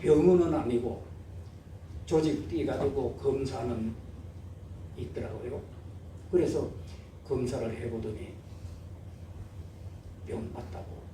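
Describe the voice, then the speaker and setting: Very wide pitch swings mark a man's speech at a very slow pace. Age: 80s+. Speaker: church elder; Sorokdo resident, former leprosy patient. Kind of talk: religious testimony.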